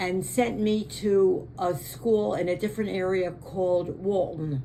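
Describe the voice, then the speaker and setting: Fairly slow delivery with ordinary pitch variation over noticeable background noise. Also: woman. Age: 80s+. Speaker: interviewee recounting family memories. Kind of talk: family oral history interview. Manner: halting, with frequent fillers.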